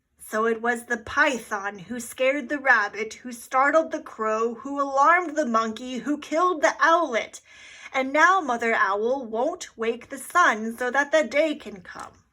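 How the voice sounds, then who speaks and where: A woman puts on a character voice. It sits at a high pitch. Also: moderate pace. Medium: read story.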